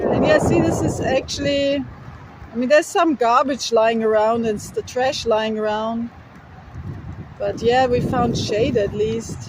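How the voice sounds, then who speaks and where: Noticeable background noise is present. A woman with a fairly high pitch speaks at a fairly slow pace with fairly even intonation. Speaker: travel vlogger, hitchhiker. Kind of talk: casual vlog chat. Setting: outdoors by a highway. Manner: loud, yelling over wind.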